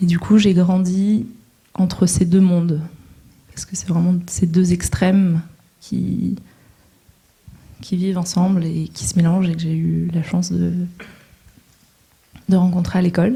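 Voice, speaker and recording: With a fairly low pitch and monotone, flat intonation, a woman speaks at a fairly slow pace, leaving long, frequent pauses and swinging widely in loudness. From northern France, coast. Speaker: social entrepreneur, panelist. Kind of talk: panel talk. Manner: hesitant, many fillers.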